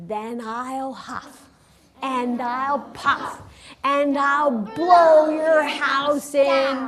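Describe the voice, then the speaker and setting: A put-on character voice from a woman, high-pitched and at a very slow pace. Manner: menacing.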